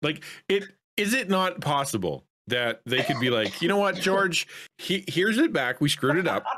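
Keeping a very even loudness at a moderate pace, a man with a Canadian accent speaks at a high pitch with very wide pitch swings. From Canada. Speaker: content creator. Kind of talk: casual chat. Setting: video call. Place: home room. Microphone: studio mic.

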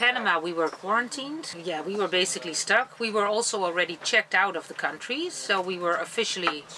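A woman with ordinary pitch variation and hardly any pauses, over light background noise. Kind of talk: interview answer. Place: boat.

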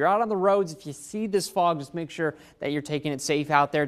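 A man speaks at a high pitch with fairly even intonation. The background is quiet. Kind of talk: weather forecast presentation. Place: studio. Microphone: lapel.

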